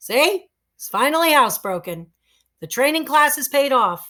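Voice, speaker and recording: A woman puts on a character voice, high-pitched and swinging very widely in pitch. Her loudness jumps up and down a lot at a moderate pace. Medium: read story. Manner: hurried.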